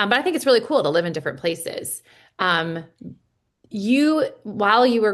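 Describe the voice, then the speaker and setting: A woman speaks in a Midwestern American accent with very wide pitch swings. The background is quiet. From US Midwest. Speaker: podcast host. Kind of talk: podcast interview.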